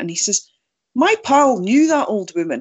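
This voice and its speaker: The pace is fairly slow. The speaker talks in a Scottish accent. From Scotland, Angus. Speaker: Bigfoot researcher. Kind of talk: interview.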